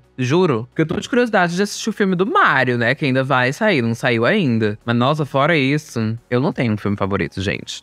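With faint music in the background and a dry sound with no echo, a man at medium pitch moves fairly quickly with hardly any pauses and very wide pitch swings. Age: 20s. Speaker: youtuber. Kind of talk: casual monologue. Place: studio.

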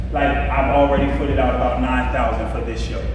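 There is strong room echo and noticeable background noise around a man whose voice is very deep and low. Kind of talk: announcements to a group. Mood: firm, slightly scolding. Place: hall. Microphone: camera far.

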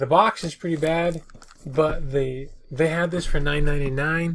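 Light noise behind a man's voice. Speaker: reseller vlogger. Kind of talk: casual vlog chat. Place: home room. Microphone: webcam.

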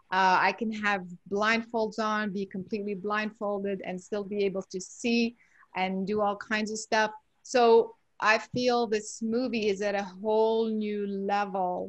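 Against a quiet background, a woman speaks at a fairly slow pace in a flat, monotone way, the sound dry with no echo. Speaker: guest. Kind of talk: interview answer. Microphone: video call.

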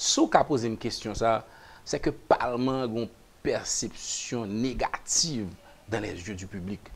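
A man speaks at a fairly slow pace with long, frequent pauses. His loudness swings widely while his pitch varies in an ordinary way. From Haiti. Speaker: politician. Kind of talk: talk show interview. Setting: studio. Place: studio. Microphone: lapel.

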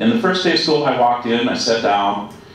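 A man with an American accent at a fairly quick pace, very wide pitch swings, strong room echo and light background noise. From California. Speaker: retired educator; presenter. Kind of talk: casual chat; lecture. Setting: museum presentation with audience. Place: hall.

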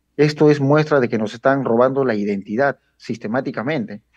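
Lively intonation marks this man's speech. The background is quiet. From Peru (Lima, Villa El Salvador); Peru. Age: 40s. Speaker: local political activist; guest. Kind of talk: interview. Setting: video call. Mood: critical, earnest. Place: home room. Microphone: video call.

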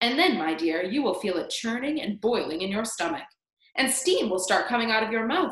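A natural reading voice with lively intonation. The background is quiet.

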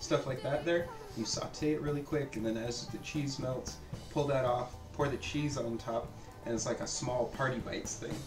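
A man talks with fairly even intonation while music plays clearly in the background. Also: moderate pace. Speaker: home cook host. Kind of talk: casual cooking chat explanation. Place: kitchen.

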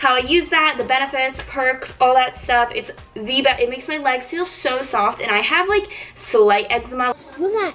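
Faint music plays in the background as a woman with a high pitch talks at a fairly quick pace. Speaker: beauty vlogger. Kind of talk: casual vlog chat. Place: home room. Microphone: phone near.

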